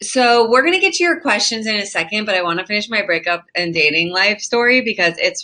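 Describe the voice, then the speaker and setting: The speaker moves at a fairly quick pace with lively intonation. Noticeable background noise is present. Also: woman. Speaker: livestream host. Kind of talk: casual chat. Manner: fast.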